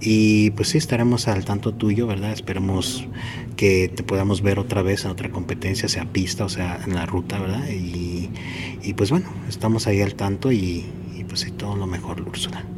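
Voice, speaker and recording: Noticeable background noise and audible room echo surround the speaker. He is a man with a fairly low pitch and ordinary pitch variation. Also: moderate pace. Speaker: running podcast host. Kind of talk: interview. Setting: athletes' hotel, doors and people passing.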